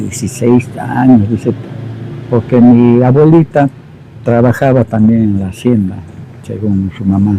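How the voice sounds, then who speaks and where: Fairly slow, medium-pitched speech from a man amid noticeable background noise. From Peru, Quillabamba (Cusco region). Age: 60s. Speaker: local elder interviewee. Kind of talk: oral history interview.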